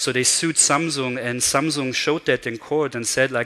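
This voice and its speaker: With a German accent, a man talks fairly quickly at a medium pitch, his intonation fairly even. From Germany. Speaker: conference speaker. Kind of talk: keynote talk. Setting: stage with audience.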